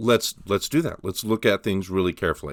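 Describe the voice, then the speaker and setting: A man's fairly low voice with a bright, sharp tone, on a very clean recording with a silent background. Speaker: college English instructor. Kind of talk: tutorial. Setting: outdoors on a mountain. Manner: casual, hesitant with fillers; mumbling at times.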